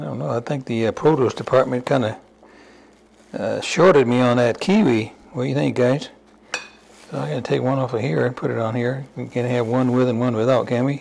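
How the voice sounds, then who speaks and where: Over noticeable background noise, a man with a medium pitch and ordinary pitch variation speaks at a fairly quick pace, broken by long, frequent pauses. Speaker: home cooking channel host. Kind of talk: cooking tutorial. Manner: casual, halting with repeated words.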